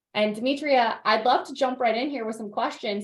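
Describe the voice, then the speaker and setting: The voice is loud and moves at a fairly quick pace. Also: woman. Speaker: alumni event host. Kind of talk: interview. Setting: video call.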